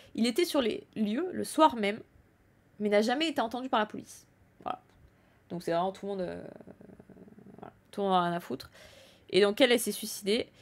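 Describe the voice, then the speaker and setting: Fairly high-pitched and at a fairly quick pace, a woman talks with lively intonation, big swings in loudness, and long, frequent pauses. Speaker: streamer commenting on news. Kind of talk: live stream commentary. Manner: stumbling over words.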